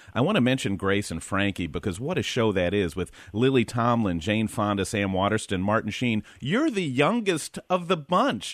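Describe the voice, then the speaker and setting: A plain, everyday voice moves at a moderate pace with lively intonation and hardly any pauses. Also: man, medium pitch for a man. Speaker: radio host. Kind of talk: radio interview show. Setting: studio.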